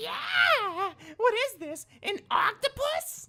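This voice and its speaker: A female-sounding, squeaky put-on character voice speaks very slowly at an extremely high pitch. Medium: video game. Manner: bossy, demanding.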